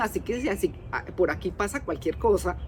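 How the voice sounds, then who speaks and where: Speaking at a moderate pace, a woman uses an ordinary speaking voice at medium pitch with lively intonation. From Colombia. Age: 60s. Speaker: podcast host. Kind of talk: casual monologue.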